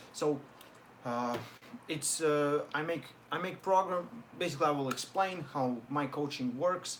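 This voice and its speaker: A man with a non-native accent speaks at a fairly slow pace in a fairly high pitch, with ordinary pitch variation and long, frequent pauses. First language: not English. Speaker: arm wrestler and online coach. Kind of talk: live stream Q&A. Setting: live stream. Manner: halting.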